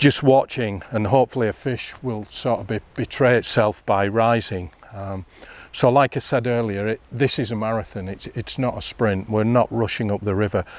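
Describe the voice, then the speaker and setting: In a plain, everyday voice, a man speaks at a moderate pace with medium pitch and fairly even intonation, on a very clean recording with a silent background and a dry, close sound with no echo. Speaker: fly fishing instructor. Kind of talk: outdoor tutorial. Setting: outdoors by a river.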